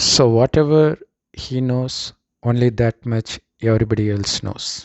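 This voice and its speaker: A man with a Tamil accent speaks at a medium pitch with ordinary pitch variation. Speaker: spiritual teacher. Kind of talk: spiritual talk.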